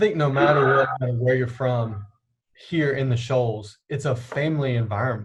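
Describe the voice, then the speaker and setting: A man's medium-pitched, somewhat breathy voice with a Southern US accent, ordinary pitch variation and a moderate pace. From US South, Alabama (Dothan). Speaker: campus minister. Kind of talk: interview.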